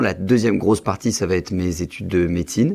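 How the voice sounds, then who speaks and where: A man speaks at a fairly quick pace in an ordinary speaking voice, with ordinary pitch variation. The recording is very clean, with a silent background. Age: 20s. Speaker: real estate investor and medical student. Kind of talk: podcast interview.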